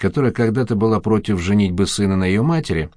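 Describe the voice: Ordinary pitch variation in plain reading aloud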